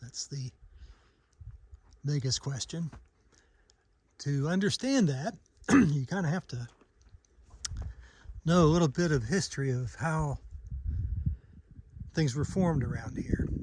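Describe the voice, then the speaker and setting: A man with a fairly high pitch and a somewhat breathy voice speaks at a fairly slow pace with ordinary pitch variation and long, frequent pauses. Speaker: geology travel vlogger. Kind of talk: outdoor tour narration. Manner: casual with hesitations.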